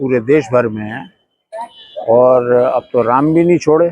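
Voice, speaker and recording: The recording of this man is dry and close with no echo, carrying an unremarkable speaking voice with lively intonation. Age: 60s. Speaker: protester. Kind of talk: street interview. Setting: outdoors at a protest.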